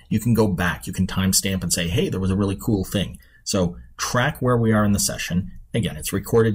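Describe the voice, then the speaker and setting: A man with a very deep, low voice and vocal fry talks at a very fast pace with ordinary pitch variation. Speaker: conference presenter. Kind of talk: software demo tutorial.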